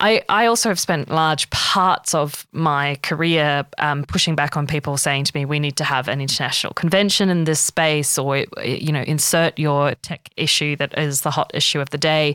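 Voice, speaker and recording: On a very clean recording with a silent background and a dry, close sound with no echo, a woman with an Australian accent speaks at a moderate pace with a very deep, low pitch, ordinary pitch variation and hardly any pauses. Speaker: podcast host. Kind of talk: interview conversation. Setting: studio.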